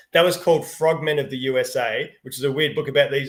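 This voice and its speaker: Someone with an Australian accent talks at a very fast pace on a very clean recording with a silent background. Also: man. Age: 50s. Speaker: children's book author. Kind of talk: live Q&A. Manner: animated.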